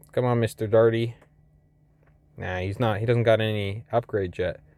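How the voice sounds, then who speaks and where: The voice belongs to a man. His speech moves fairly quickly. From Canada. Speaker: gaming youtuber. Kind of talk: gameplay commentary. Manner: casual, thinking aloud.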